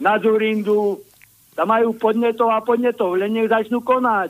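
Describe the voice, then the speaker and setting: Intonation stays monotone and flat as a man talks at a high pitch. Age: old. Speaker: caller. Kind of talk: casual chat.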